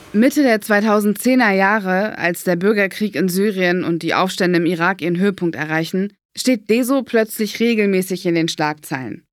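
Her pitch medium and varying in an ordinary way, a woman uses a normal speaking voice at a moderate pace with very even loudness and hardly any pauses. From Berlin. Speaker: podcast host, narrator. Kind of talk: scripted narration.

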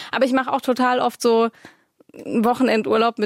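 A woman speaks at a fairly high pitch. She talks with a slight Swabian accent. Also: dry, close sound with no echo. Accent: little Swabian audible. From Swabia, Stuttgart. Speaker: podcast co-host. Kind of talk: casual chat.

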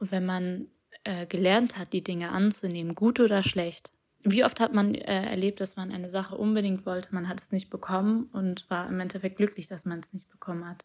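At a moderate pace, a woman speaks at a medium pitch with big swings in loudness, an unremarkable speaking voice. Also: fairly even intonation. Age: young. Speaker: poet. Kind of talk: testimony.

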